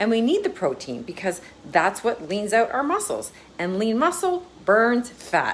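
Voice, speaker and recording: The voice moves through very wide pitch swings. It keeps a moderate pace. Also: woman. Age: 50s. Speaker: wellness coach. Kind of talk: social media tips video.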